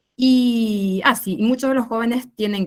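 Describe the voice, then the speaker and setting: A woman with a Paraguayan accent. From rural Paraguay. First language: Guarani (speaking Spanish). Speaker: researcher on rural youth. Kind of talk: academic discussion.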